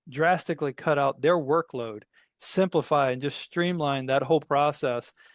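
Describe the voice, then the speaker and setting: A man with a Southern US accent talks with ordinary pitch variation, his sound dry and close with no echo over a quiet background. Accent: Southern twang. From US South. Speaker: tech company CEO. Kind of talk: interview.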